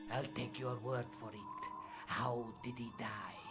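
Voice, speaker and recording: Loud background noise sits behind a man doing a put-on character voice at a medium pitch. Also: fairly slow pace. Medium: video game. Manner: formal, measured, menacing.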